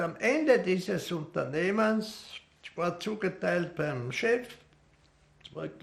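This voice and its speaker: A man's high-pitched voice at a very slow pace. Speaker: war veteran. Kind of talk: testimony.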